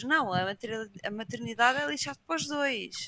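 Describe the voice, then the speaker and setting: A woman speaks in a raised, projected voice. Her tone is bright and sharp, with ordinary pitch variation. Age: 20s. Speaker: Twitch streamer. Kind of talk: casual chat.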